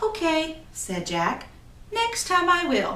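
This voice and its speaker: Very slow talk from a woman, noticeable background noise behind it. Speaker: storyteller, graduate student. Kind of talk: folk tale storytelling with dialogue voices.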